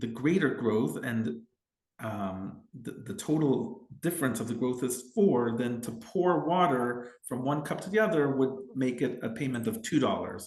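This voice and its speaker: Audible room echo surrounds a man speaking at a fairly slow pace. His medium-pitched voice has lively intonation. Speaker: family lawyer. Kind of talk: legal explainer tutorial. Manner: hesitant fillers and repetitions.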